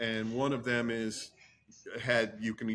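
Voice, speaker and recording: A man talks in an American accent. His pitch is medium and his intonation is monotone and flat. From New Jersey. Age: 60s. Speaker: attorney. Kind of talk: podcast interview.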